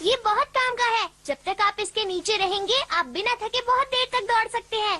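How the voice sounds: The voice is a cartoonish character voice pitched extremely high. It moves at a moderate pace.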